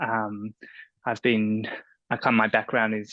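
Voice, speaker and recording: A man with an Australian accent speaks in a bright, sharp tone at a fairly low pitch. The sound is dry and close with no echo, over a quiet background. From Australia, Melbourne. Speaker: freelance journalist and writer. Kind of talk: panel discussion.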